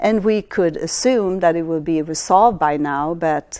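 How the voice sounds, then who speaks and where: A woman with a slight Swedish accent speaks at a fairly low pitch with ordinary pitch variation. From Sweden. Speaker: astrologer. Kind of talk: lecture. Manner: halting.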